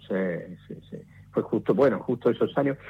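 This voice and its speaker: An ordinary speaking voice from a man, medium in pitch, with ordinary pitch variation. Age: 60s. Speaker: radio director and former DJ. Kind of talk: radio interview.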